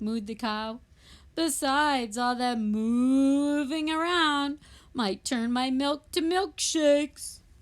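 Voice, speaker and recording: This is a put-on character voice pitched high. It moves at a very slow pace. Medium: read story.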